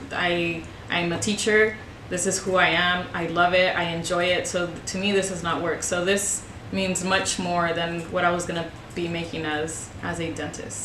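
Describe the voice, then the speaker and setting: A woman with a Spanish accent, fairly low in pitch, flat and monotone at a moderate pace, amid noticeable background noise and audible room echo. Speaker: high school Spanish teacher. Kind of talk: interview. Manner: hesitant, many fillers.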